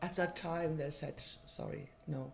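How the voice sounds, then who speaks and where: Over noticeable background noise, a woman speaks very slowly in a very deep, low pitch. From Germany, near Cologne. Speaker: interviewee. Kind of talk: documentary interview.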